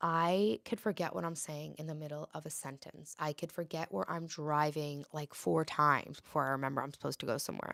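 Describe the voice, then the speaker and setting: Talking at a fairly quick pace with hardly any pauses, a woman with a very deep, low voice shows ordinary pitch variation on a very clean recording with a silent background and a dry, close sound with no echo. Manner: talking very fast.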